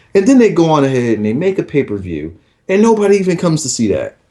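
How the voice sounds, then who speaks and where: Loud and very fast, a man speaks at a fairly high pitch with very wide pitch swings and a dark, mellow tone. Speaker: wrestling podcast co-host. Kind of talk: casual chat. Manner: animated.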